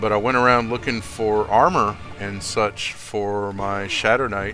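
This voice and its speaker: Noticeable background noise sits behind a man with an American accent. He talks at a fairly slow pace with a fairly low pitch and fairly even intonation. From US South. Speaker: video game streamer. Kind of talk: casual gaming chat.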